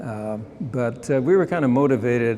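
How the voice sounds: A man's medium-pitched voice with a dark, mellow tone, lively intonation and a fairly slow pace over faint background noise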